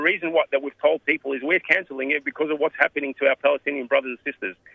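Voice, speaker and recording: A man speaks with an Australian accent. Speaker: community organisation president. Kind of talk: interview.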